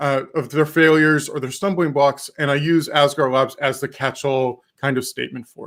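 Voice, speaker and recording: At a moderate pace, a man talks with a slight Texan accent. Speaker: tech developer advocate, conference speaker. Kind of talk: conference talk. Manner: careful enunciation.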